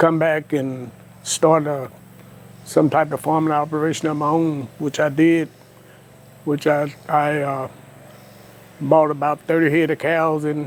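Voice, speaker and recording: The speaker has an Alabama accent and talks at a fairly slow pace. The intonation is monotone and flat. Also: man. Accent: US Southern (Alabama). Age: 70s. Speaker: cattle farmer. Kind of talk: interview.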